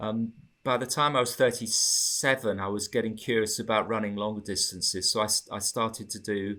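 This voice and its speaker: In an English accent, a man talks at a moderate pace with a bright, sharp tone and fairly even intonation on a very clean recording with a silent background. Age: 60s. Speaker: marathon runner. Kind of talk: interview.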